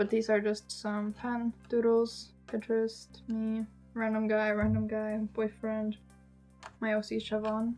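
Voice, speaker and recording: The speaker goes at a fairly slow pace in a monotone, flat intonation. Music plays in the background. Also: woman, fairly high pitch for a woman. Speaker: artist. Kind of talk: casual talk to camera.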